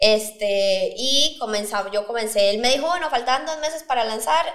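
Her words come at a fairly quick pace as this woman's pitch shifts in an ordinary way. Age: 20s. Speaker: startup founder. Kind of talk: interview.

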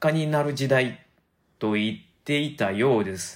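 At a fairly slow pace, a man speaks in a Kansai accent in a very clean recording with a silent background. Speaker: podcaster. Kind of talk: casual monologue.

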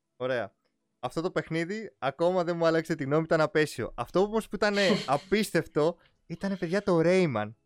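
At a moderate pace, a man speaks in a high pitch with lively intonation, captured as a dry, close sound with no echo on a very clean recording with a silent background. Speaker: gaming podcast host. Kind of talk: casual chat.

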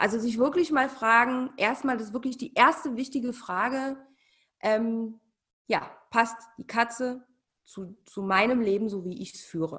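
A woman speaks in an unremarkable speaking voice at a fairly high pitch with ordinary pitch variation. Her loudness swings widely. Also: fairly slow pace. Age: 40s. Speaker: cat behaviour consultant. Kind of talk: casual interview.

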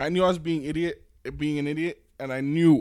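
His tone is animated and his pitch fairly high. The man talks at a fairly quick pace. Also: very clean recording, silent background. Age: 30s. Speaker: podcast co-host. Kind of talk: casual chat.

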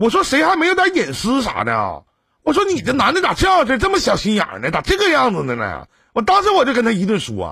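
Raised and projected, a man's bright, sharp voice sits at an extremely high pitch, swinging very widely at a fairly quick pace. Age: 40s. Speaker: radio relationship advice host. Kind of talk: call-in advice show.

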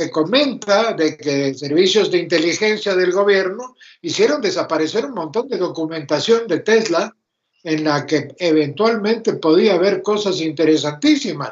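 A man speaks with an Argentine accent, his pitch high for a man. His intonation is lively and his pace fairly slow. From Argentina. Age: 80s+. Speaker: retired electrical engineer, mentor. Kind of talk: casual interview.

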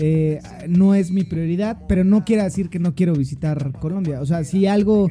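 Speaking at a moderate pace, a man with a strong Mexico City accent uses a high voice and fairly even intonation. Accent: strong chilango Mexican Spanish. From Mexico, Estado de México. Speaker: podcast host. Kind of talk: casual chat.

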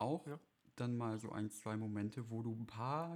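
A man talks at a moderate pace with a medium pitch. His pitch varies in an ordinary way, and the setting is quiet. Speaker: podcast co-host. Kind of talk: casual chat. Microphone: crackling.

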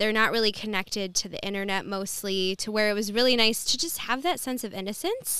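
A woman with an American accent and a fairly high pitch speaks in a bright, sharp tone with ordinary pitch variation. She talks at a fairly quick pace with hardly any pauses. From Metro Detroit, Michigan (Dearborn). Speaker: yoga teacher and teen life coach. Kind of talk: casual interview chat.

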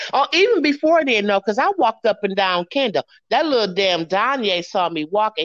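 A woman with an American accent, very wide pitch swings, a fairly quick pace, and a dry, close sound with no echo. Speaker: host's mother. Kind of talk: casual interview.

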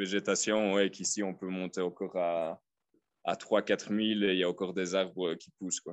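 A man at a moderate pace, very deep and low in pitch, with monotone, flat intonation. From Belgium, Liège. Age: 30s. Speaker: expat. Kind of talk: casual interview. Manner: halting.

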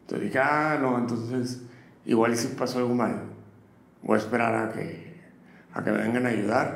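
A man talks at a moderate pace, leaving long, frequent pauses. Audible room echo and noticeable background noise fill the recording. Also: medium pitch for a man, fairly even intonation. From northern Mexico, Matamoros. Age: 30s. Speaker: chef. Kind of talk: interview.

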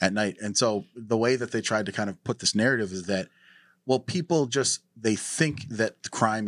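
A man with an American accent speaks at a moderate pace and fairly low pitch with ordinary pitch variation, an ordinary speaking voice, on a very clean recording with a silent background. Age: 30s. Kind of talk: casual interview.

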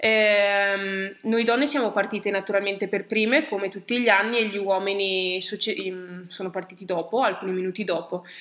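This is an unremarkable speaking voice at a moderate pace. The intonation is fairly even. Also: woman, medium pitch for a woman. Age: 20s. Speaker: triathlete and nurse. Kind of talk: casual interview. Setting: at the guest's home.

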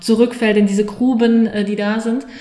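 A woman at a moderate pace, with audible room echo. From Saarland, Germany. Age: 30s. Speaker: mindfulness coach. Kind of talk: casual interview. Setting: in person, recorded together on site.

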